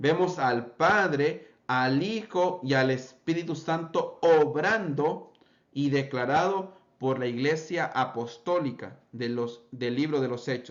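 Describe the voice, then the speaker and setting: At a very slow pace, a man talks with a fairly high pitch and ordinary pitch variation, with audible room echo. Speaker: pentecostal preacher. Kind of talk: bible study lecture.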